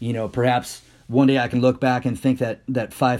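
At a medium pitch, a man speaks in a dark, mellow tone with monotone, flat intonation. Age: 40s. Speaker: podcast host, military veteran teaching leadership. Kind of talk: casual solo monologue. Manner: halting, repeats words.

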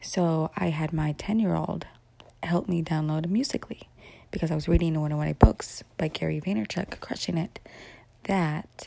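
Moving at a moderate pace, the speech has a dark, mellow tone and is somewhat breathy. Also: woman. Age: 30s. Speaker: podcaster and mother. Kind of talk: casual monologue. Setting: at home in the morning. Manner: rambling run-on speech.

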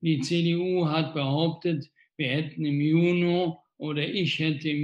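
A man's fairly high, monotone voice with flat intonation at a very slow pace. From Rhineland, Germany (Wesseling near Cologne). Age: 60s. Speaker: mayor. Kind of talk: live Q&A interview. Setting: Facebook livestream.

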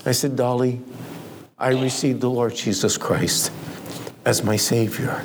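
A man speaks at a medium pitch in a monotone, flat delivery, at a fairly slow pace with long, frequent pauses and very even loudness. Noticeable background noise runs underneath. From Romani family in the US. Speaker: missionary preacher. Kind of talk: sermon. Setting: church.

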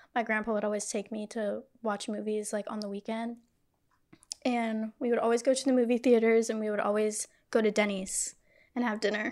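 In a very clean recording with a silent background, a woman with a fairly high voice talks fairly quickly in a monotone, flat intonation. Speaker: podcast host. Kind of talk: casual chat. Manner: playful, teasing.

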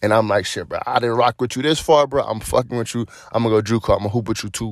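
Recorded very cleanly with a silent background, a man speaks in a plain, everyday voice at a fairly quick pace, with medium pitch and ordinary pitch variation. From Cleveland, Ohio. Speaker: podcast host. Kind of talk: casual monologue.

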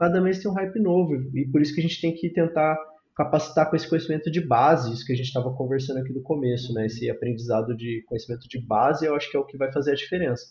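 Somewhat breathy, a man talks at a very fast pace in a fairly high pitch with ordinary pitch variation. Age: 30s. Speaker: software engineering manager. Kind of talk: casual interview chat.

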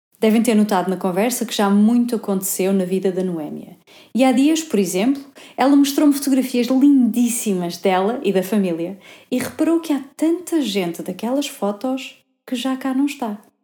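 This woman has an ordinary speaking voice with a fairly high pitch. She talks at a moderate pace. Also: lively intonation. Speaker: podcast host. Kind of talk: interview; scripted narration.

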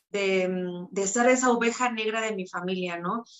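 A normal speaking voice, fairly slow in pace, with fairly even intonation. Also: woman. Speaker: author and self-knowledge coach. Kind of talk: testimony.

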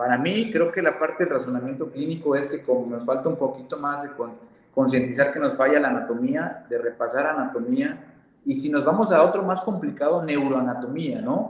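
A man with a fairly high pitch, fairly quick pace and ordinary pitch variation, amid noticeable background noise and audible room echo. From Mexico, Veracruz. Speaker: physiotherapist. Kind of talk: interview with presentation.

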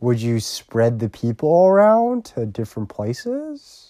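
A man's dark, mellow tone at medium pitch with very wide pitch swings, on a very clean recording with a silent background. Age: 20s. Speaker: solo podcaster. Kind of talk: casual monologue. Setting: lying down while recording. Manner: rambling, many fillers.

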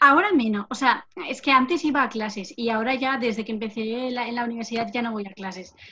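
Speaking at a fairly quick pace, a woman uses a fairly high pitch with ordinary pitch variation and a bright, sharp tone. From Navarre, Spain (Lesaka, Basque-speaking area). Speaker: occupational therapy student. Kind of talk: casual interview.

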